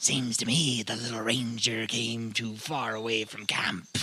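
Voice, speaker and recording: A low-pitched put-on character voice. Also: moderate pace. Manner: taunting, sly.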